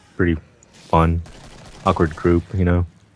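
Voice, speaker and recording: A man speaks at a fairly slow pace. His pitch is very deep and low. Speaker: game developer. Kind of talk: casual chat. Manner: monotone.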